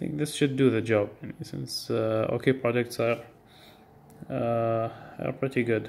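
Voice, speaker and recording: A man speaks at a medium pitch and a very slow pace. His intonation stays fairly even. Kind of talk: casual product unboxing talk to camera. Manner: hesitant, many filler words.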